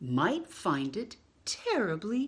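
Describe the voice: She talks at a slow pace in a medium pitch, with very wide pitch swings and a husky, rough edge.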